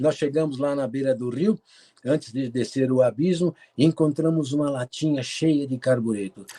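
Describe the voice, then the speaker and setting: In a dark, mellow tone, a man talks at a moderate pace and a fairly high pitch with ordinary pitch variation, the sound dry and close with no echo. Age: 70s. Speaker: cave explorer and photographer. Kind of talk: interview talk with slide presentation.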